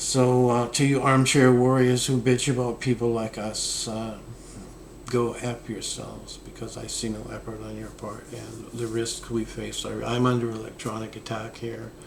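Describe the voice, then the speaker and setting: Loudness swings widely as a man speaks. Noticeable background noise and audible room echo surround him. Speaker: esoteric philosophy vlogger. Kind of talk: casual monologue. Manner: slow; low energy.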